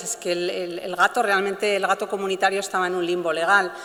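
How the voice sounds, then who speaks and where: A woman speaks at a medium pitch and a fairly quick pace over noticeable background noise. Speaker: animal rights lawyer. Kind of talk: conference talk. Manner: hesitant, many fillers.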